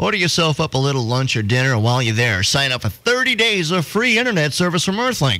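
Dry with no echo over a quiet background, a man speaks at a very fast pace with very wide pitch swings. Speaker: radio DJ. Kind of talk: radio DJ promo read. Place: studio. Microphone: studio mic.

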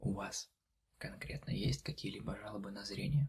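A soft-spoken man whispers at a fairly slow pace, gentle in tone. Vocal fry runs through his voice. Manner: soft ASMR whisper, gentle questions. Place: home room.

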